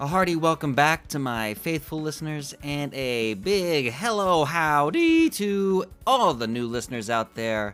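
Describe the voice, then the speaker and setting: With music in the background, a man of fairly high pitch talks at a fairly slow pace with lively intonation and hardly any pauses. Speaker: trivia podcast host. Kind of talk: quiz show monologue. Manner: sounds angry; animated.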